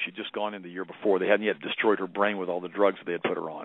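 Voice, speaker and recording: A man talks at a very fast pace with a fairly low pitch. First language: German. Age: 50s. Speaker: doctor. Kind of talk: interview.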